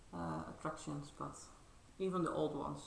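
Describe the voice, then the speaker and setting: Mumbled speech amid noticeable background noise and audible room echo. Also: woman. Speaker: cross-stitch vlogger. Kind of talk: casual show-and-tell vlog. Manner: halting, many fillers; mumbling.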